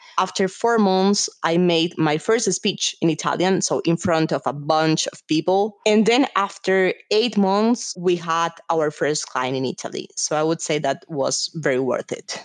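A woman with a Spanish accent, fairly low in pitch, at a fairly slow pace with hardly any pauses and ordinary pitch variation. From Colombia. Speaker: business executive. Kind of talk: interview.

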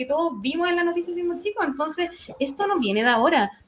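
A woman's voice, very fast, with ordinary pitch variation and noticeable background noise. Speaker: football podcast panelist. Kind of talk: casual chat.

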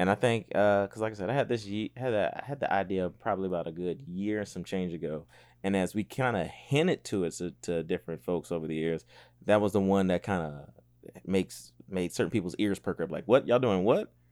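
On a very clean recording with a silent background, a man talks in a normal speaking voice at a fairly low pitch and a fairly quick pace, with ordinary pitch variation. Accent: American. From Columbia, South Carolina. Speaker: podcast co-host. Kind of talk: casual chat.

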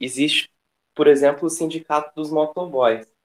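Fairly slow speech from a man, the intonation fairly even. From Brazil, Franca (São Paulo state interior). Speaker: delivery app worker and union activist. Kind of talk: casual discussion. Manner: hesitant, many fillers.

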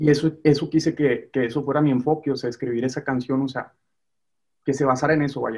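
This man talks at a very fast pace in a monotone, flat delivery, his pitch fairly high for a man. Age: 20s. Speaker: musician. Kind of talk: casual chat. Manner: halting.

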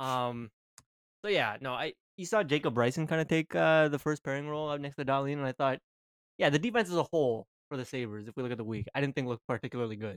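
A man talks at a very fast pace at a fairly high pitch with lively intonation. The recording is very clean, dry and close, with a silent background and no echo. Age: 20s. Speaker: hockey podcast co-host. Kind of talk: casual chat.

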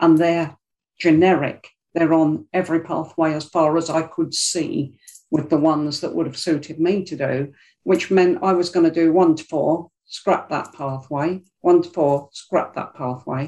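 In a South London accent, a woman speaks at a fairly slow pace with a fairly low pitch, a dark, mellow tone and monotone, flat intonation against a quiet background. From South London, Greenwich. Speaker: public speaking club member. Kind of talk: interview conversation. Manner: emotional, expressive.

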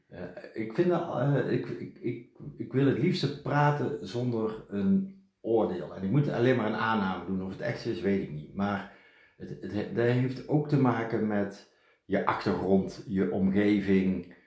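Audible room echo surrounds a man with a medium pitch who speaks very slowly, his intonation lively. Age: 50s. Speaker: podcast host's partner, businessman. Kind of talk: casual chat. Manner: halting, frequent repetitions.

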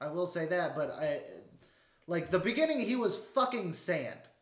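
A loud male voice. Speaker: podcast co-host. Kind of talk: casual chat.

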